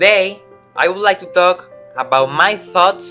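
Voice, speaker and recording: With music in the background, someone speaks in a Spanish accent at a fairly slow pace with lively intonation. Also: man. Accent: non-native English speaker, Spanish-speaking. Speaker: gaming YouTuber. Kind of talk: video game commentary.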